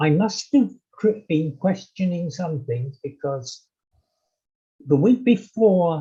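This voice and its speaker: A very slow, somewhat breathy male voice with an English accent, a dark, mellow tone and very wide pitch swings. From England. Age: 80s+. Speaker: interview guest. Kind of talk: casual chat. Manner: halting, many fillers.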